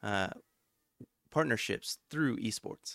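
Speaking at a fairly slow pace, a man with a plain, everyday voice shows ordinary pitch variation in a very clean, dry, close recording with a silent background and no echo. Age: 30s. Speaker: podcast host. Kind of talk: interview.

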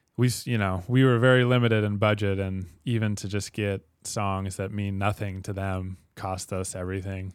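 With a normal speaking voice and a fairly low pitch, a man talks at a moderate pace with hardly any pauses and fairly even intonation. The recording is very clean, with a silent background. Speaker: podcast host. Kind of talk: interview.

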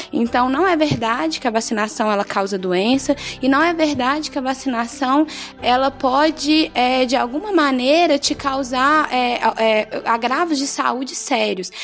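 Noticeable background noise sits behind a woman with a high pitch. She talks at a fairly slow pace with ordinary pitch variation. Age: 20s. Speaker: nursing student. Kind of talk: health advice on local radio. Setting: radio studio.

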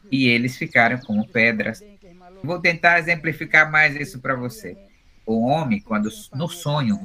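Noticeable background noise fills the recording. A man speaks over it at a moderate pace. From Brazil, Upper Rio Negro, Amazonas (Baniwa people). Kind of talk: interview.

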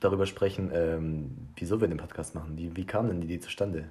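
The speaker is a man with a somewhat breathy voice. He moves along at a fairly quick pace. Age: 20s. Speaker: podcast co-host. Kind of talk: casual chat. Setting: small apartment. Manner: halting, searches for words.

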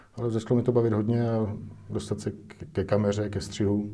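Fairly low in pitch, a man speaks in a flat monotone while room echo is audible around him. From Czech Republic, Most. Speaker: film director and cinematographer. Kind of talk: interview. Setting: studio.

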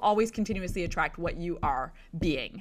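Recorded very cleanly over a silent background, a woman speaks at a moderate pace in a bright, sharp, enthusiastic tone with ordinary pitch variation. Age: 30s. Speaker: motivational podcast host and sales entrepreneur. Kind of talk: solo motivational talk.

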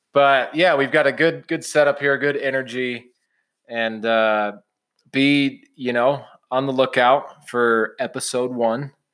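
A man with an American accent and a normal speaking voice, medium in pitch, fairly slow in pace, with fairly even intonation, on a very clean recording with a silent background. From Illinois (Champaign-Urbana). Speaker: sports betting podcast host. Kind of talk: casual chat.

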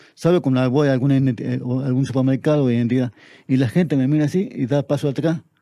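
A man speaks at a medium pitch in a dark, mellow tone. His pace is fairly quick and his intonation fairly even. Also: very even loudness. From Argentina, Tartagal (Salta), northern Argentina. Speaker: poet and literature teacher. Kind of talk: interview.

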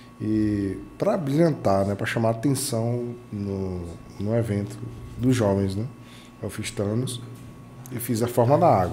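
A man's medium-pitched voice at a fairly slow pace, with ordinary pitch variation and long, frequent pauses. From Bahia, Brazil (Itajuípe). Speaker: computer modder and tech event ambassador. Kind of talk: interview storytelling.

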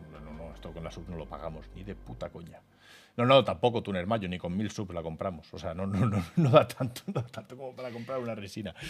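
A man's fairly low voice at a fairly quick pace, with lively intonation and big swings in loudness. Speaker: video game streamer and podcast co-host. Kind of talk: casual chat. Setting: live stream studio. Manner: animated.

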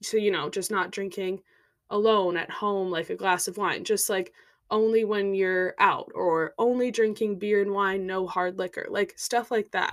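A woman with an American accent uses a normal speaking voice at a medium pitch and moderate pace, her intonation fairly even, in a very clean recording with a silent background. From US Midwest, Minnesota. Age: 20s. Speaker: podcaster. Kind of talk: casual monologue.

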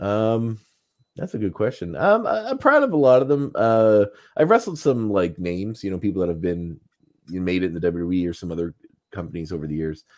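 Fairly low in pitch, a man talks at a fairly quick pace in an unremarkable speaking voice with lively intonation against a quiet background. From Nova Scotia, Canada (Antigonish area). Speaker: artist, podcaster and professional wrestler. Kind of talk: casual chat.

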